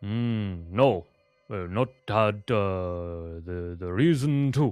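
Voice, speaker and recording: This man puts on a character voice. His pitch sits fairly low. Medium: actual play. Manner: broken, halting speech.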